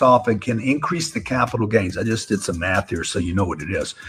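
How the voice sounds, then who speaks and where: A man in a normal speaking voice, medium in pitch, with lively intonation. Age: 60s. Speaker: real estate investor and political commentator. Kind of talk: live-stream political commentary. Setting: live stream.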